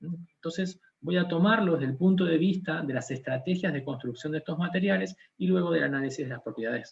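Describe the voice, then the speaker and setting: Somewhat breathy and fairly high in pitch, a man with a strong Argentine accent talks at a fairly quick pace with lively intonation. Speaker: scientist. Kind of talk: lecture. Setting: conference talk.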